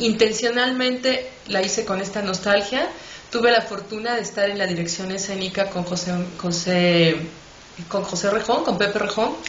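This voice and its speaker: Room echo and noticeable background noise surround a woman speaking at a medium pitch and a moderate pace with fairly even intonation. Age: 60s. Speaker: writer and storyteller. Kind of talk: interview. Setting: online radio interview.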